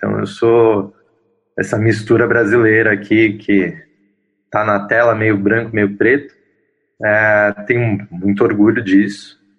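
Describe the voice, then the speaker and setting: At a very slow pace with long, frequent pauses, the speaker uses fairly even intonation and has a São Paulo accent. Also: man, fairly low pitch for a man. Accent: Paulistano Brazilian Portuguese. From São Paulo, Brazil (Zona Leste). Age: 30s. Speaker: interviewee in relationship documentary. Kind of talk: interview testimony. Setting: video call. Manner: halting, many fillers.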